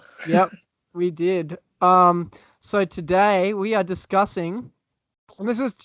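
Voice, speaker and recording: A man with an Australian accent speaks in a bright, sharp tone, recorded dry and close with no echo. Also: quiet background. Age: 20s. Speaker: podcast host. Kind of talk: casual chat.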